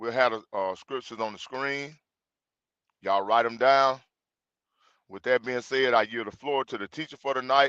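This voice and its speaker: Speaking in a Mississippi accent, a man keeps a moderate pace and medium pitch with ordinary variation. His tone is bright and sharp, with a dry, close sound and no echo. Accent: US Southern (Mississippi). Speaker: religious group host. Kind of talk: livestream introduction. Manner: casual, informal.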